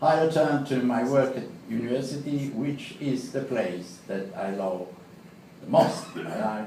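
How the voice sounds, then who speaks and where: A man with a strong Italian accent talks at a moderate pace, with audible room echo and noticeable background noise. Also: medium pitch for a man, ordinary pitch variation. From Italy. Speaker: law professor. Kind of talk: prepared speech. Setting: club meeting with audience. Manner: halting.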